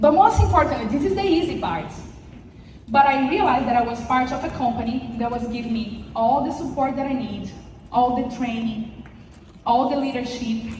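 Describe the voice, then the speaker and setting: A woman talks at a moderate pace, her pitch varying in an ordinary way, with noticeable echo from the room around her. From Brazil. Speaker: insurance sales agent. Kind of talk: motivational speech. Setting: stage with audience. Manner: halting.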